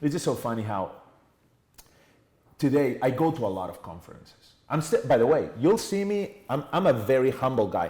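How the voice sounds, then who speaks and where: A man with a Spanish accent speaks at a moderate pace and medium pitch, his tone dark, mellow and somewhat breathy. His pitch swings very widely and his loudness swings a lot. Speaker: entrepreneur and sales trainer. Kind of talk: podcast interview.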